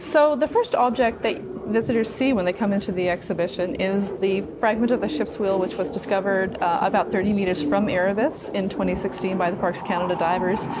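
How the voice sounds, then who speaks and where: Talking at a fairly quick pace with hardly any pauses, a woman of medium pitch keeps her loudness very even and her pitch variation ordinary, amid noticeable background noise and audible room echo. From Newfoundland. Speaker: museum curator and archaeologist. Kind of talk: interview. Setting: museum exhibit hall.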